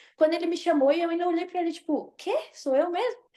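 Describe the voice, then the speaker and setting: A woman speaks with a dark, mellow tone. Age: 20s. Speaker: beauty pageant princess. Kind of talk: interview.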